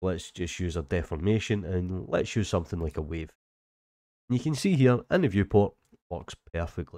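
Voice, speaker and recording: A man with a Scottish accent speaks in a very deep, low pitch with a dark, mellow tone, lively intonation and a moderate pace. The sound is dry and close with no echo, on a very clean recording with a silent background. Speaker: 3D software tutor. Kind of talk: tutorial. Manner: casual.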